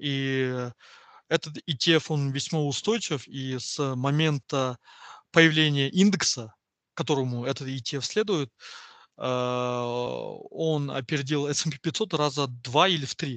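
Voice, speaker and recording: A man's fairly high voice at a very slow pace, with ordinary pitch variation, long and frequent pauses, and a dry, close sound with no echo over a quiet background. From Kazakhstan, Kostanay region and Semey. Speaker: oil and gas economist. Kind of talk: casual interview.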